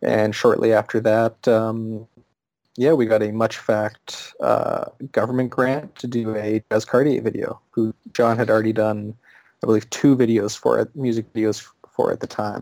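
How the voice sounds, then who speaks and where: Here a man speaks with a Canadian accent at medium pitch. His intonation stays monotone and flat. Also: moderate pace. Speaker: VR video producer. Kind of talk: interview.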